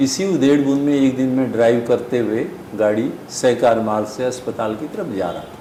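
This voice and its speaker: With noticeable background noise and audible room echo, a man speaks at medium pitch with fairly even intonation. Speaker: pulmonologist. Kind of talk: interview. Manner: halting.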